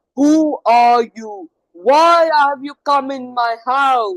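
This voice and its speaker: A high-pitched, put-on character voice moves at a very slow pace. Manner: threatening, demanding.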